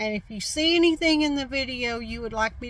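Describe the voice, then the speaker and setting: A woman's high-pitched voice, dry with no echo. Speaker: vlogger, reseller. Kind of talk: casual vlog chat. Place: car. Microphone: phone near.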